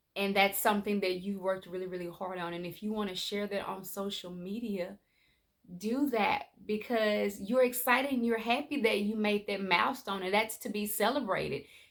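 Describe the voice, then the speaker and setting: A woman speaks with an ordinary speaking voice at a medium pitch. Her pace is moderate, with ordinary pitch variation. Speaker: life coach. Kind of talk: motivational vlog talk. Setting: at home.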